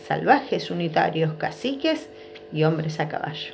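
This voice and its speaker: Someone talks at a moderate pace in an Argentine accent. Music plays in the background. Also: woman. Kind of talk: children's story reading.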